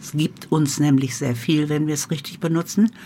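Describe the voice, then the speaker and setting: A woman talks in a very deep, low pitch with ordinary pitch variation. Noticeable background noise runs behind her. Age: 80s+. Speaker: home cook running a supper club. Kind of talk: casual chat.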